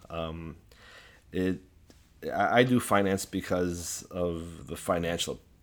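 A man's very deep, low voice with ordinary pitch variation, in a very clean recording against a silent background. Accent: Chicago. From US Midwest (Chicago, Assyrian community). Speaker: political activist. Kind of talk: interview.

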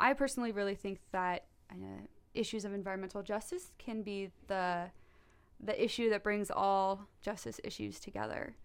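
A normal speaking voice from a woman, medium in pitch with ordinary pitch variation, at a moderate pace on a very clean recording with a silent background. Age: 20s. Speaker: environmental faith advocate. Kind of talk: casual interview.

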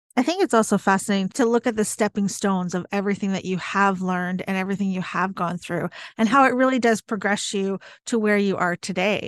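Over a quiet background, a woman speaks very fast in an enthusiastic, animated tone, the sound dry and close with no echo. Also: medium pitch for a woman. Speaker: podcast co-host and spiritual coach. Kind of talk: casual podcast conversation.

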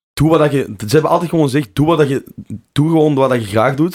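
A man at a very fast pace with ordinary pitch variation, in a very clean recording with a silent background. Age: 20s. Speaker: drum and bass DJ and producer. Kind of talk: casual interview chat. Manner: halting, many fillers and repeats.

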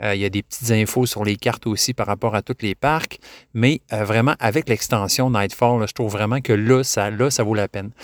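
On a very clean recording with a silent background and a dry, close sound with no echo, a man with a slight Québécois accent speaks at moderate pace and medium pitch with fairly even intonation. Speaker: podcast host. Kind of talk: casual solo podcast talk. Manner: halting, many fillers and repetitions.

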